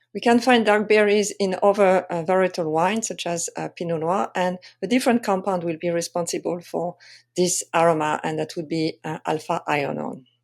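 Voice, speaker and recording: With a French accent, a woman speaks at medium pitch and a moderate pace with ordinary pitch variation, on a very clean recording with a silent background. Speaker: wine sensory expert and tasting coach. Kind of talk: presentation tutorial. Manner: hesitant, many fillers.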